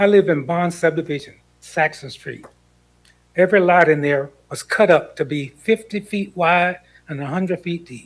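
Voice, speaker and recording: Speaking at a moderate pace with an American accent, a high-pitched man shows ordinary pitch variation. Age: 70s. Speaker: committee member, former local official. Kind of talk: public meeting remarks.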